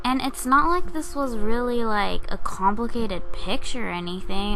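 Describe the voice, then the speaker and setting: A woman's high voice with very wide pitch swings comes through noticeable background noise and audible room echo. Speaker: digital artist. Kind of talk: casual narration over speedpaint. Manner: fast.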